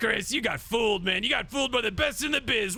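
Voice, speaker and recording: A put-on character voice at a very fast pace. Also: man, extremely high pitch for a man. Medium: audio drama. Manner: fast, jokey, repetitive.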